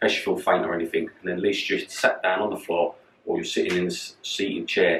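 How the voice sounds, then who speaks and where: This voice has a London accent. The pace is fairly quick. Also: man. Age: 40s. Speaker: personal trainer. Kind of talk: fitness tutorial. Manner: casual.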